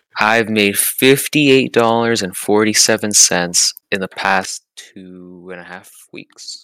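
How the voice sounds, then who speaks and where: A man talks at a very slow pace with hardly any pauses, his pitch fairly low with ordinary variation and his tone bright and sharp, while his loudness swings widely. The recording is very clean with a silent background and a dry, close sound with no echo. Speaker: podcast co-host. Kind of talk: casual chat.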